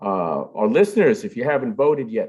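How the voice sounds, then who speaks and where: With very wide pitch swings and a moderate pace, a man talks while the background stays quiet. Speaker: forum host, executive director of civic organization. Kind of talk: closing announcements. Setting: live event hall. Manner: many filler uhs, halting.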